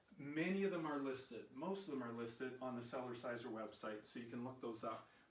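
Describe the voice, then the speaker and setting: A man talks at medium pitch and ordinary pitch variation, his voice carrying audible room echo. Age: 60s. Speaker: fitness vlogger. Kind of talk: personal vlog talk.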